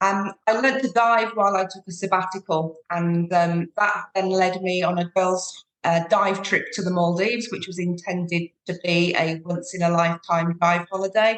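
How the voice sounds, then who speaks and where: A woman speaks at a moderate pace with a British accent, her medium-pitched voice following a fairly even intonation and hardly any pauses. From UK. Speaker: sustainable tour operator. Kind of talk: podcast interview.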